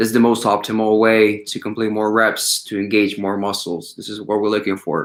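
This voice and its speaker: A man speaks at a fairly low pitch with a non-native accent and a moderate pace. His intonation is monotone and flat, with hardly any pauses. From Ukraine. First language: not English. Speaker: calisthenics coach and YouTuber. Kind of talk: live stream Q&A chat.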